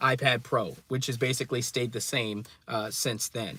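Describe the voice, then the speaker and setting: A man speaks loudly at a moderate pace in a bright, sharp tone. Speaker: tech YouTuber. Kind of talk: live stream commentary. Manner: loud, ranting.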